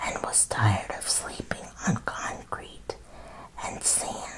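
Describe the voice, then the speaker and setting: A woman whispers very slowly as noticeable background noise carries on behind her. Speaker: ASMR creator and autobiography reader. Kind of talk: ASMR story time reading. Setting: studio, close microphone. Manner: whispered, soft, up close.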